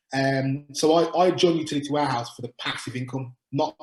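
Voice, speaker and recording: A man with a Birmingham accent, fairly high-pitched, somewhat breathy, talking at a fairly quick pace in a flat monotone. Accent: Birmingham (Brummie). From England, Birmingham. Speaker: utility sales agent. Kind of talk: webinar Q&A. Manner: fast.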